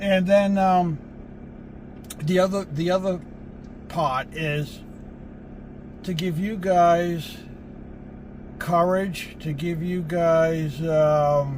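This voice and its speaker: A man with a high pitch speaks very slowly in a relaxed tone, with fairly even intonation and long, frequent pauses, amid audible room echo and noticeable background noise. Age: 70s. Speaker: van life vlogger. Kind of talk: casual vlog talk to camera. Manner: relaxed, halting with fillers.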